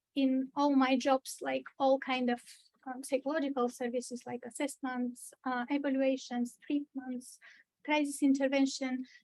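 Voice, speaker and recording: A woman with a strong Bulgarian accent and a high pitch speaks at a moderate pace with monotone, flat intonation. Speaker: mental health trainer. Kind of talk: training presentation. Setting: church meeting room with video call. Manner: hesitant, many fillers.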